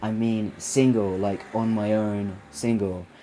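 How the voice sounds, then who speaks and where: In an American accent, a man speaks with a dark, mellow tone at a fairly low pitch and fairly even intonation. The recording is very clean, with a silent background. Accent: British with slight American twang. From England, with childhood in Saudi Arabia. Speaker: vlogger and filmmaker. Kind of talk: casual vlog. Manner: halting, many fillers.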